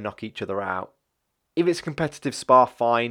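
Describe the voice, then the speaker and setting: Using ordinary pitch variation, a man with an East Midlands accent is heard on a very clean recording with a silent background. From English Midlands, Leicester. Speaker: MMA podcast host. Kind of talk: solo podcast monologue. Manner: hesitant, many fillers.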